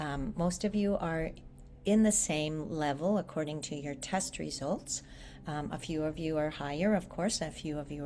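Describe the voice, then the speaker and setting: A woman with a very deep, low pitch and a dark, mellow tone speaks at a moderate pace with vocal fry. Her pitch varies in an ordinary way, and audible room echo surrounds her. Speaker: English teacher. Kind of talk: online class lecture.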